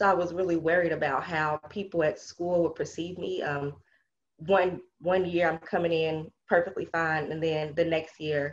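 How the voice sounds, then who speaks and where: A woman's fairly low, monotone voice, flat in intonation, at a moderate pace. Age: 20s. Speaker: stroke survivor, graduate student. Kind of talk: testimony. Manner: hesitant with frequent fillers.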